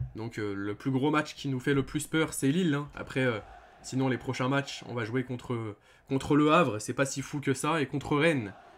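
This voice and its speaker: A man at a medium pitch, with ordinary pitch variation and a moderate pace. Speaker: football YouTuber, OM fan. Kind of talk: match review vlog. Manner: hesitant, many fillers; loud.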